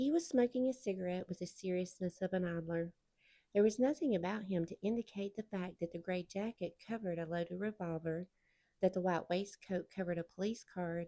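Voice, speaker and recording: Speaking fairly quickly in a Southern US accent, a woman has a medium pitch, ordinary pitch variation and a dark, mellow tone. The sound is dry and close, with no echo. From Southern United States. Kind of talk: audiobook read-aloud.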